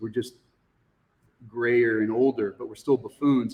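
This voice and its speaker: Speaking with an American accent, a man has an unremarkable speaking voice at medium pitch and fairly even intonation. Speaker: high school teacher. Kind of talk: casual chat.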